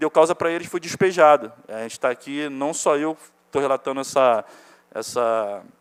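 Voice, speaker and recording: With an ordinary speaking voice, a man talks at a moderate pace and a fairly high pitch, his pitch variation ordinary and the sound dry and close with no echo. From Ilha Grande, Rio de Janeiro state, Brazil. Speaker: evicted resident. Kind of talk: public hearing testimony. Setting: municipal chamber hearing.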